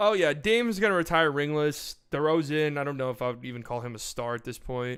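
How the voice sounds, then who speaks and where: Here a man talks with lively intonation. The recording is very clean, with a silent background. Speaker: streamer reacting to his old rankings. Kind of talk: casual live stream chat. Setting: live stream. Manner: casual, halting with repeated words.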